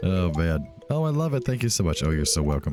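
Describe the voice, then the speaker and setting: Music plays in the background as a man speaks in a relaxed tone at a fairly quick pace, his pitch swinging very widely. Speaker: let's play video game host. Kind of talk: casual gameplay commentary. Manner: relaxed, chill.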